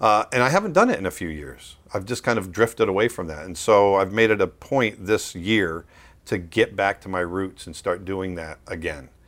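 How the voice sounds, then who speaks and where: An American-accented man has an unremarkable speaking voice at a fairly low pitch with ordinary pitch variation. His loudness swings widely in a very clean recording with a silent background. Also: moderate pace. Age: 50s. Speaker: animator and artist. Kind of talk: interview.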